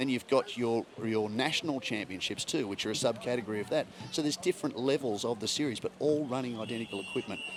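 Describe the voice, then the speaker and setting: A man with an Australian accent talks at a very fast pace with ordinary pitch variation. Noticeable background noise runs underneath. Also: medium pitch for a man. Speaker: motorsport commentator. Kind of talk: casual chat.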